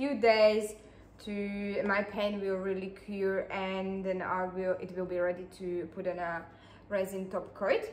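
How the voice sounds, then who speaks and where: In a Slovak accent, a woman with a medium pitch talks at a fairly slow pace, her intonation fairly even, with audible room echo. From Slovakia. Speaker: acrylic pouring artist. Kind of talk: tutorial. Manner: halting, many fillers.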